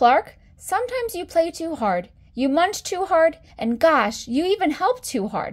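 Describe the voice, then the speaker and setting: A woman puts on a squeaky character voice at an extremely high pitch, with very wide pitch swings at a moderate pace. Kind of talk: bedtime story. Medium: read story. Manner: calm, gently firm.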